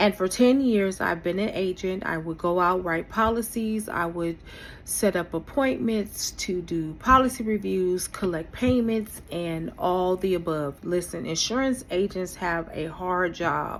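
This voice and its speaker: Her pitch medium and its variation ordinary, a woman with an unremarkable speaking voice speaks at a fairly slow pace. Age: 50s. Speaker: vlogger, former insurance agent. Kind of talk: personal vlog monologue.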